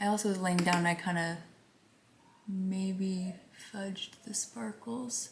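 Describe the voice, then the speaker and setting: This woman is soft-spoken, with a medium pitch and ordinary pitch variation. She talks at a fairly slow pace. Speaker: beauty vlogger. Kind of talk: casual chat. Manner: quiet.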